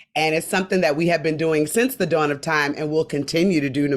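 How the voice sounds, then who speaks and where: A woman with very deep, low pitch talks very fast in an animated tone. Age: 40s. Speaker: comedian and activist. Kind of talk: panel discussion.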